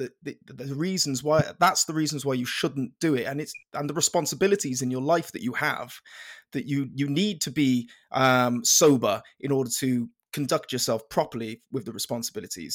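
On a very clean recording with a silent background, a man with a South Welsh accent talks at a fairly high pitch with ordinary pitch variation. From South Wales (Penarth). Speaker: podcast host, fitness company founder. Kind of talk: interview.

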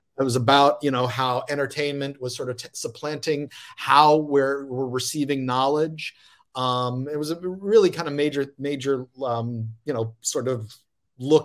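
With fairly even intonation and a fairly high pitch, a man talks at a moderate pace in an ordinary speaking voice. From US South, Lafayette, Louisiana. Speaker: professor and podcast host. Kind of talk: casual chat.

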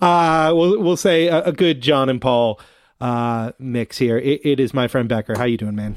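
A man with an unremarkable speaking voice talks at a moderate pace in a medium pitch, with lively intonation. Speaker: podcast host. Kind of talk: casual chat, intro.

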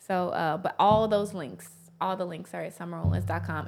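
Here a woman talks with a Southern US accent. She keeps a moderate pace. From US South, Tennessee. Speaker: motivational speaker and author. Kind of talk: interview.

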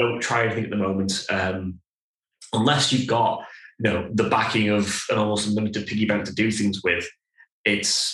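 A man at medium pitch, fairly quick pace, a plain, everyday voice. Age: 30s. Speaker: brewery co-founder. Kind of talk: casual chat.

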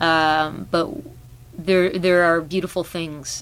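This woman's pitch sits fairly low. She has an unremarkable speaking voice and fairly even intonation. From Canada. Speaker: singer-songwriter. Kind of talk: casual interview.

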